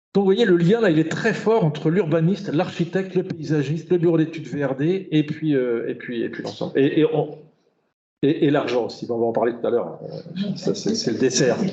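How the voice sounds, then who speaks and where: The intonation rises and falls in a lively way. Room echo can be heard. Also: man, fairly high pitch for a man. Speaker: urban planner and hydrologist giving a talk. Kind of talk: lecture. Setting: conference hall with audience. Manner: fast; halting, many repetitions and fillers.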